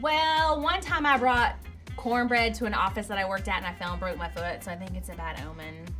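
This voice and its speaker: With music in the background, a woman with an American accent talks at a fairly quick pace. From Southern US. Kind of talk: casual talk to camera. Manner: upbeat.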